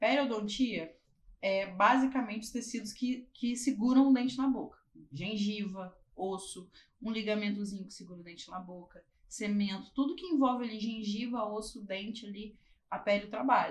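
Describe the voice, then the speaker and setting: A somewhat breathy woman at fairly high pitch, with ordinary pitch variation and big swings in loudness. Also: moderate pace. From Barra Mansa, Rio de Janeiro state, Brazil. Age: 30s. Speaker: dentist. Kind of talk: casual interview.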